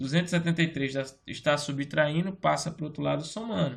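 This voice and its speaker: The delivery shows a plain, everyday voice, ordinary pitch variation and a moderate pace. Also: man. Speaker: teacher. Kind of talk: lecture.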